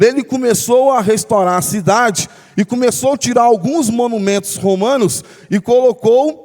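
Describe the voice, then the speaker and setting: Speaking at an extremely high pitch for a man, he holds his loudness very even and keeps a fairly slow pace. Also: ordinary pitch variation. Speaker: pastor. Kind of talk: bible study sermon.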